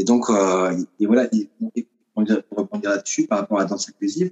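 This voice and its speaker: A man's plain, everyday voice, fairly low in pitch, with ordinary pitch variation at a moderate pace. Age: 30s. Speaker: professional dancer. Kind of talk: interview.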